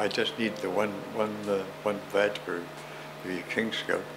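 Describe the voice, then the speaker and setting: The speaker has a Canadian accent. Noticeable background noise runs underneath. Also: man. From Ontario, Canada (Oakville); Ontario, Canada. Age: 90s. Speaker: elder recalling childhood; interviewee. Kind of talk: oral history interview. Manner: halting, many repetitions. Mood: warm, smiling. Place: home room.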